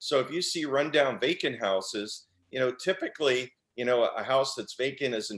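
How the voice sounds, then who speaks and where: Here is a man with a plain, everyday voice. He speaks at a fairly quick pace with lively intonation. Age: 60s. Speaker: real estate investor, former mailman. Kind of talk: interview on video call. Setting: video call.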